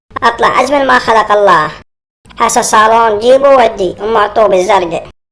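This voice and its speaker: In a cartoonish character voice, a woman speaks at a fairly high pitch. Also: moderate pace, ordinary pitch variation. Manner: bossy, pushy.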